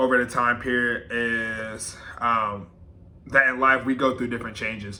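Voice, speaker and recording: With audible room echo, a man speaks at a moderate pace in fairly even intonation. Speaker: YouTuber. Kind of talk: personal vlog monologue. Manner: filler-heavy, casual.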